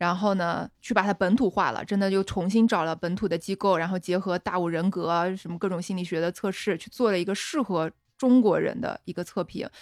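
With a Qingdao accent, a woman talks at a fairly quick pace, with hardly any pauses. Her pitch is medium with ordinary variation, and music plays in the background. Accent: Qingdao accent, noticeable. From Shandong, Qingdao. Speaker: founder of a women's growth platform. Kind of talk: casual chat.

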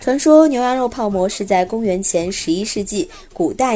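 A woman at a medium pitch and moderate pace, lively in intonation, with music in the background. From Xi'an, Shaanxi. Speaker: podcast host. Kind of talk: scripted narration. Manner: relaxed storytelling with filler particles.

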